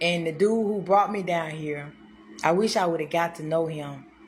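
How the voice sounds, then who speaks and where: A woman's fairly low voice, with ordinary pitch variation, comes through noticeable background noise and audible room echo. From Mississippi, US South. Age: 30s. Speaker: street preacher. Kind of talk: testimony. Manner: animated; repetitive.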